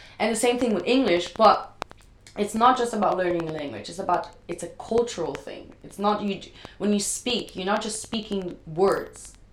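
A woman speaks loudly at a moderate pace, medium in pitch with ordinary pitch variation. Noticeable background noise is present. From Brazil. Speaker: professional dancer. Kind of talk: casual chat. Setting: at home.

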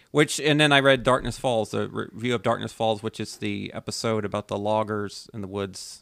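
A plain, everyday voice at a fairly quick pace, with ordinary pitch variation, hardly any pauses, and a very clean recording over a silent background. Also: man, fairly low pitch for a man. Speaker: podcast co-host. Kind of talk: casual chat.

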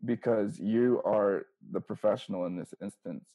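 This man has a plain, everyday voice with an American accent. His pitch sits in the medium range and varies an ordinary amount. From Southern California, Inland Empire. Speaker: professional basketball player. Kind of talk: interview.

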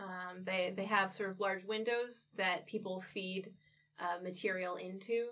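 Reading aloud, natural in voice and fairly even in intonation

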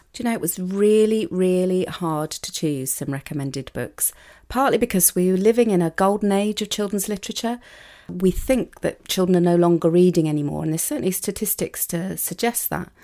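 A woman with a British accent, a dark, mellow tone and a fairly quick pace, in a very clean recording with a silent background. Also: medium pitch for a woman, ordinary pitch variation. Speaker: university lecturer in education. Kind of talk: interview about children's books. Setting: studio.

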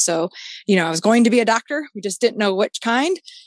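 A woman with a Midwestern American accent is heard against a quiet background, the sound dry and close with no echo. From Michigan, southeast of Detroit. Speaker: anti-trafficking advocate. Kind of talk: testimony.

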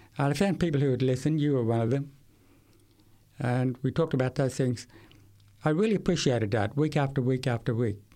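A man with an Australian accent and a dark, mellow tone talks very fast yet with long, frequent pauses, keeping very even loudness and ordinary pitch variation on a very clean recording with a silent background. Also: medium pitch for a man. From Queensland, Australia. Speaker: hearing rehabilitation specialist. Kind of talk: testimony.

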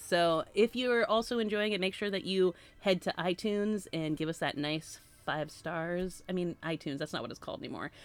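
A woman with an American accent at a fairly quick pace, music playing in the background. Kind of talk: casual chat.

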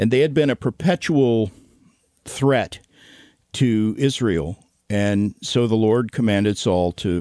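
In a fairly low pitch, a man talks at a fairly slow pace with a dry, close sound with no echo and a quiet background. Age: 60s. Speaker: ministry executive director. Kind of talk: casual interview chat. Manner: halting, many fillers.

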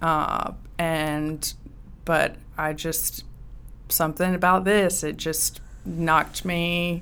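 A woman with a Southern US accent talks at a very slow pace, leaving long, frequent pauses. Her pitch sits fairly low and her intonation is flat and monotone. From US South, rural Georgia. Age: young. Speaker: business owner, equipment dealer. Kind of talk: interview. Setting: studio.

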